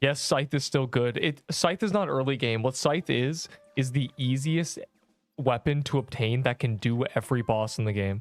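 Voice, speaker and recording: There is music in the background. A man speaks at a medium pitch, and his loudness stays very even. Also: ordinary pitch variation, moderate pace. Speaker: gaming livestreamer. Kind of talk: casual livestream chat. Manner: relaxing, soft.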